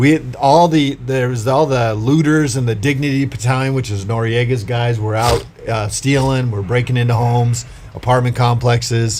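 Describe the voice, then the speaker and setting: A man of medium pitch talks at a moderate pace with fairly even intonation. Noticeable background noise is present. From Hawaii, Big Island, much of youth abroad. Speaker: county sheriff and author. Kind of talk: podcast interview.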